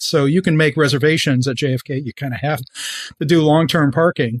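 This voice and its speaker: At a fairly quick pace, a man with an American accent talks in an unremarkable speaking voice, fairly high in pitch with ordinary variation, in a dry, close sound with no echo. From New York. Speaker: brand strategist and author. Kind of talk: interview conversation.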